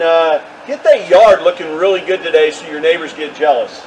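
A man with an American accent and lively intonation, at a moderate pace, over light background noise. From Texas. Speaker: realtor video host. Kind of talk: street-seller pitchman patter, upbeat promo spiel. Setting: outdoors. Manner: friendly, folksy. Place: open country. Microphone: camera far.

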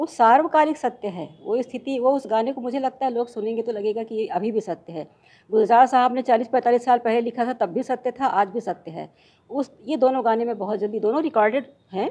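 A woman speaks in a Chhattisgarh accent with a high pitch and ordinary pitch variation. Her tone is dark and mellow. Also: moderate pace. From Chhattisgarh, India. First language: Chhattisgarhi (speaking Hindi). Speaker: professor and lyric translator; professor. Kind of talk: interview. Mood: calm, proud of work. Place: home room. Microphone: handheld.

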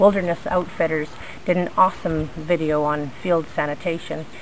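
Fairly low in pitch, a woman speaks at a moderate pace with fairly even intonation. There is light background noise. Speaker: bushcraft instructor. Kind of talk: tutorial. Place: garden. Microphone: phone near.

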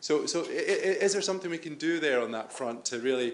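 Through noticeable background noise, a man with a Scottish accent speaks at a moderate pace with ordinary pitch variation. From Scotland. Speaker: audience member asking a question; audience member. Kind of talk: audience question. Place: hall.

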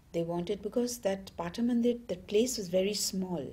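A woman talks in a somewhat breathy way, her pitch varying in an ordinary manner. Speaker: interviewee. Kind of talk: interview answer. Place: home room.

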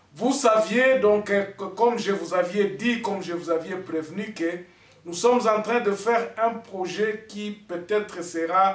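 Amid audible room echo, a man with a high pitch speaks at a very slow pace with ordinary pitch variation. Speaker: online news commentator. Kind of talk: direct-to-camera commentary.

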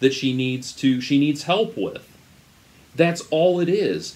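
At a moderate pace, a man talks with a fairly high pitch and fairly even intonation. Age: 30s. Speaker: YouTube commentator. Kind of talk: commentary monologue. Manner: halting, many fillers. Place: home room. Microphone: webcam.

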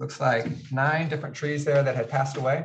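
A somewhat breathy man speaks over noticeable background noise. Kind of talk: meeting report. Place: meeting room. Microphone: camera far.

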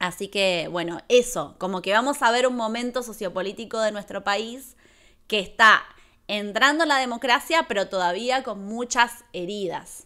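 The tone is bright and sharp. The background stays quiet. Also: woman, fairly high pitch for a woman, ordinary pitch variation, fairly slow pace. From Argentina, La Plata; Argentina. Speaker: YouTuber and streamer, film reviewer; YouTuber, streamer, film reviewer. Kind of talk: live stream film review. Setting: home live stream. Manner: animated. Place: home room. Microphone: studio mic.

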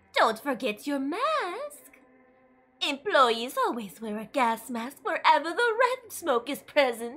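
A female-sounding voice puts on a character voice, high-pitched and fairly slow, with music in the background.

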